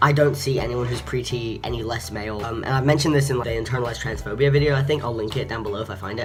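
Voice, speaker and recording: A medium-pitched male voice with ordinary pitch variation, music in the background. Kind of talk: casual talk to camera. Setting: construction noise in background.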